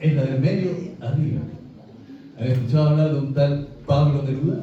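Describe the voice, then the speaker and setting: A man talks at a moderate pace with a fairly high pitch and monotone, flat intonation. Audible room echo and noticeable background noise are present. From Chile. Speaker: preacher. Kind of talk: sermon.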